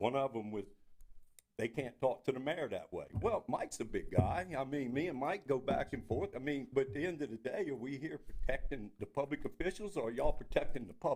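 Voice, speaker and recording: The man talks at a fairly quick pace, with lively intonation and fairly high pitch. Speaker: citizen speaking at public comment. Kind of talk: heated debate. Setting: city council meeting, at the mic. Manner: loud; halting.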